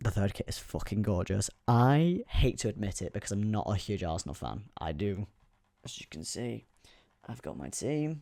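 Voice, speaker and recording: Soft-spoken, a man talks at a moderate pace with a fairly low pitch and a dark, mellow tone. His pitch swings very widely and his loudness shifts a lot. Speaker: youtuber. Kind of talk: casual vlog commentary.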